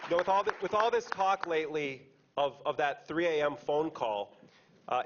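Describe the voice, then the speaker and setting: A man with an American accent speaks at a moderate pace with lively intonation. His voice is fairly high, heard over noticeable background noise. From United States. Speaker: investigative journalist. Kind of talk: speech to an audience. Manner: loud; repetitive false starts.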